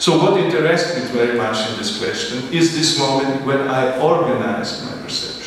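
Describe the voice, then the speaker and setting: Strong room echo fills the recording. There is also light background noise. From Italy, of German-Italian background. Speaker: artist. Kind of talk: artist talk. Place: hall.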